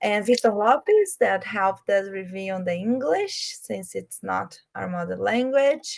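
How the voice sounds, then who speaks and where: A woman with a Brazilian accent talks at a fairly slow pace with hardly any pauses. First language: Portuguese. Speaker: project manager. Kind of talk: online presentation. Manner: slow, deliberate; halting.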